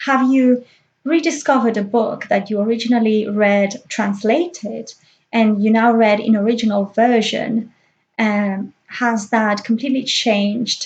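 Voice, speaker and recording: Fairly slow and somewhat breathy, a woman speaks at a fairly high pitch with fairly even intonation. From Spain (Catalan-speaking region). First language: Catalan and Spanish. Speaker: book vlogger. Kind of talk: casual vlog monologue. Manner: hesitant, with frequent fillers.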